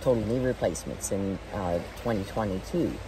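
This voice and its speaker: Over noticeable background noise, a woman speaks at a fairly quick pace with a very deep, low pitch. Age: 60s. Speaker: veterinarian and former masters speed skater. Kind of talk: interview answer.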